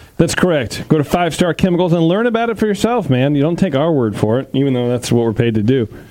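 Over noticeable background noise, a man with an American accent races along at a very fast pace with hardly any pauses and very wide pitch swings. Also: fairly high pitch for a man. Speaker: homebrew show host. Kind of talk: casual chat and beer judging. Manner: joking, laid-back.

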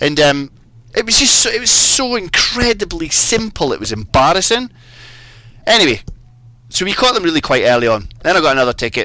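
Amid noticeable background noise, a man with a Scottish accent talks very fast with very wide pitch swings. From Scotland. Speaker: fly fishing guide. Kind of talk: casual chat.

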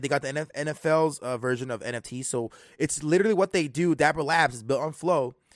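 Against a quiet background, a man talks at a moderate pace in a plain, everyday voice. His pitch sits fairly high, with ordinary pitch variation. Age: 20s. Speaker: crypto podcast host. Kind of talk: casual chat. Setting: live stream.

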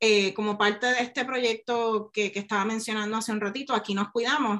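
A woman talks at a fairly quick pace with a fairly high pitch. Her tone is bright and sharp, and her intonation stays fairly even. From Puerto Rico, rural north coast. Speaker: science communicator and neuroscientist. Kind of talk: interview conversation.

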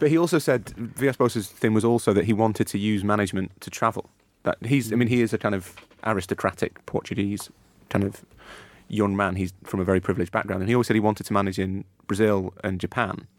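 Speaking very fast with a Yorkshire accent, a man keeps his fairly low voice at ordinary pitch variation. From northern England, Leeds. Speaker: football journalist. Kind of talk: casual chat.

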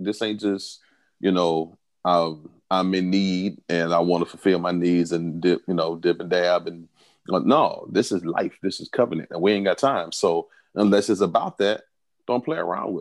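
A man speaks at a moderate pace with a very deep, low pitch. The background is quiet. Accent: Southern US. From US South. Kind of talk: casual chat. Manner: animated.

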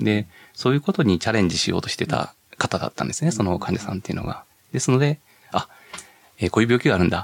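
The delivery is very fast with lively intonation, broken by long, frequent pauses. The sound is dry and close, with no echo. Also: man, medium pitch for a man. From Hyogo, Kansai (Tamba-Sasayama). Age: 40s. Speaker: medical professor, geneticist. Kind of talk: radio interview.

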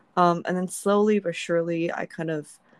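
A woman has an unremarkable speaking voice. Her pitch is fairly low. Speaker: podcast host. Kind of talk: casual chat.

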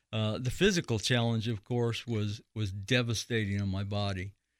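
There is no echo at all, and the sound is dry and close. It is a man's voice, recorded very cleanly against total silence. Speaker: author and cancer survivor. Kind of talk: interview. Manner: halting.

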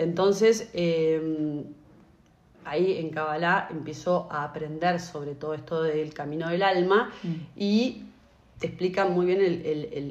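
The voice moves at a fairly slow pace with ordinary pitch variation. Room echo is audible. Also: woman. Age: 40s. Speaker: podcast co-host. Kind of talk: casual chat.

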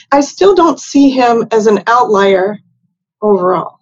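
A woman with an American accent has an ordinary speaking voice, fairly high in pitch, and talks at a fairly slow pace. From West Virginia. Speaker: news director, journalist. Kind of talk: interview.

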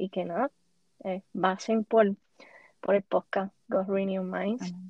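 A Puerto Rican accent at a fairly slow pace. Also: woman. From Puerto Rico. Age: 20s. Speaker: podcaster. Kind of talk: interview.

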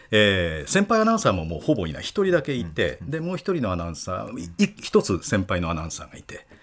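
A man at a very fast pace with hardly any pauses and big swings in loudness, on a very clean recording with a silent background. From Okayama, Japan. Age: 60s. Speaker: sports announcer. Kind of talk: casual chat.

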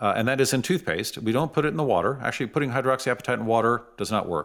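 Here a man speaks with an American accent in an ordinary speaking voice. His pitch is medium, with ordinary pitch variation. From San Francisco, US West Coast. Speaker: dentist. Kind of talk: interview.

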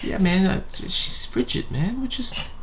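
Someone drawls in a put-on character voice at a fairly slow pace. Clear background noise can be heard. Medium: actual play. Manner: casual, drawling bro-speak, keeps saying man.

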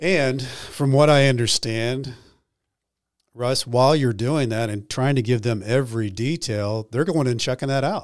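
On a very clean recording with a silent background, a man with an unremarkable speaking voice keeps a moderate speed and medium pitch, his pitch varying in an ordinary way. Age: 50s. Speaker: podcast host, former prisoner. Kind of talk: interview.

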